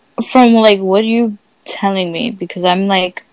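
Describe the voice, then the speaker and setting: She has a plain, everyday voice at a medium pitch. The woman keeps a moderate pace and fairly even intonation. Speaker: podcast host. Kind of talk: casual chat. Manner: casual, profane.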